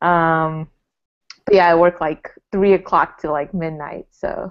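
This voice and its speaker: The background is quiet. A woman talks at a fairly slow pace. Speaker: podcast guest. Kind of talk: casual podcast chat. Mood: cheerful, laughing. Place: home room. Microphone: earbuds.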